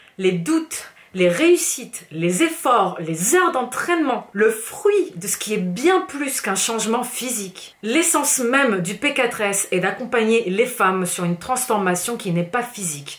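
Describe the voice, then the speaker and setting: Over noticeable background noise, a woman with a fairly high pitch and an animated tone talks at a fairly slow pace with hardly any pauses and very wide pitch swings. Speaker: fitness coach and youtuber. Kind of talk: angry vlog rant.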